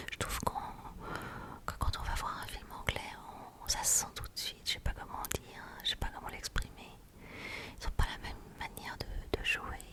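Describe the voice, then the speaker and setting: Someone whispers at a moderate pace, leaving long, frequent pauses. Noticeable background noise runs underneath. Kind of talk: ASMR casual chat. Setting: binaural microphone. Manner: whispered.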